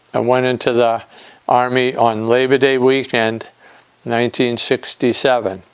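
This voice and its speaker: A man's medium-pitched voice moves at a fairly slow pace through noticeable background noise. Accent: American. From Nantucket, Massachusetts. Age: 60s. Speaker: war veteran. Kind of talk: interview testimony. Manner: halting, with fillers.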